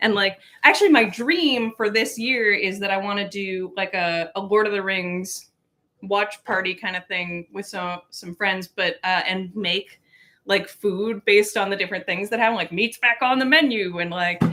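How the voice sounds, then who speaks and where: A woman speaks at a moderate pace and medium pitch with ordinary pitch variation in an unremarkable speaking voice. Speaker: cooking livestream host. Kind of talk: casual livestream chat while cooking.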